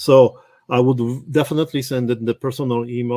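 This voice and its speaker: At a moderate pace, a man with a non-native accent talks in a medium-pitched, monotone, flat voice, the sound dry and close with no echo. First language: not English. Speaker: real estate automation trainer. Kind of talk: live workshop tutorial. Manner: halting.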